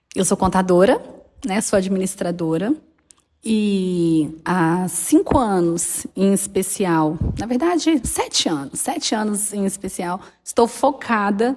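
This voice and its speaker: Speaking in a Minas Gerais accent, a woman has a somewhat breathy voice at a medium pitch. Her pace is very slow and her intonation lively. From Minas Gerais, Brazil. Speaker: accountant and business mentor. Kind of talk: casual interview chat.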